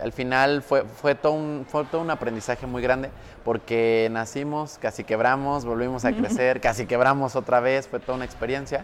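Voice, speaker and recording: Medium-pitched male speech at a moderate pace, fairly even in intonation with hardly any pauses, over noticeable background noise. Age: 20s. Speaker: entrepreneur and marketing consultant. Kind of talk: casual interview chat.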